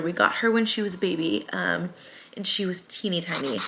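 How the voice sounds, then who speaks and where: Speaking with an American accent at a moderate pace, this woman can be heard over noticeable background noise. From US Midwest, Springfield, Missouri. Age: 20s. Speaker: small business owner and vlogger. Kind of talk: casual vlog chat. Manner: casual, many filler ums.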